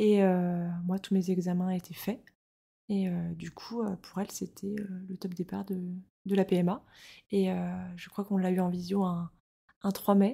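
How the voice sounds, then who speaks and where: A woman with a somewhat breathy, dark and mellow voice at medium pitch talks at a fairly slow pace in a monotone, flat delivery broken by long, frequent pauses. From France, Rennes (Brittany). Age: 30s. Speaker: podcast guest, mother. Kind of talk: casual interview, personal testimony. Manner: hesitant, many fillers.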